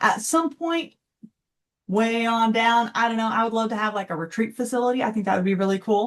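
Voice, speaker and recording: Fairly high in pitch, a woman talks with a Texan accent. Her pace is fairly quick, and her pitch varies in an ordinary way. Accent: Texan American. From Texas. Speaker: financial coach. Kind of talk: interview.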